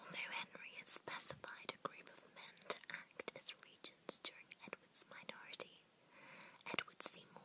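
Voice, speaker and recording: A whispering woman against noticeable background noise. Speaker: ASMR creator. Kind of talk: ASMR history lesson, teacher roleplay. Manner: soft-spoken, whispered.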